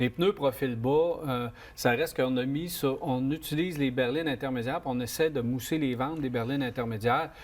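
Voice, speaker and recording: Speaking with a Quebec accent, a man talks fairly quickly at medium pitch with ordinary pitch variation. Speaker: car show host. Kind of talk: casual panel discussion.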